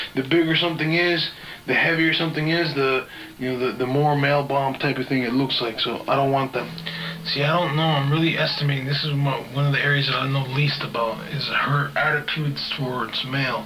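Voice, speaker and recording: Music plays in the background and the room echo is audible. The delivery is fairly quick with fairly even intonation. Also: man. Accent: American. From US South, Georgia. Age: 20s. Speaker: video diarist. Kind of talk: video diary monologue. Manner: halting, many fillers and restarts.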